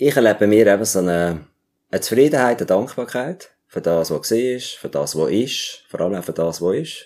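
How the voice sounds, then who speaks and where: With lively intonation, a man speaks at a moderate pace in a fairly low pitch. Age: 50s. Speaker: music teacher and theologian. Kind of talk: interview. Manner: halting.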